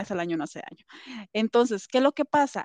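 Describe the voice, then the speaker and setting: A woman with a fairly high pitch speaks in very wide pitch swings. The sound is dry and close with no echo, and the background is quiet. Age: 30s. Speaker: doctor and therapy client. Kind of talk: casual interview testimony.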